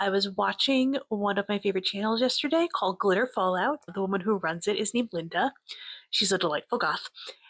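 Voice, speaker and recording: The sound is dry and close with no echo as a woman speaks at a fairly quick pace. Her medium pitch carries lively intonation at very even loudness. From New York (Westchester). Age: 40s. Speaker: nonprofit data consultant. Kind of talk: casual self-interview video.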